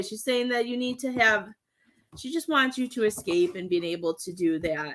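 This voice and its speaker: On a very clean recording with a silent background, a woman speaks at a moderate pace in a high, bright, sharp voice with very wide pitch swings. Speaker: psychic medium. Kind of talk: live-stream reading. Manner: loud.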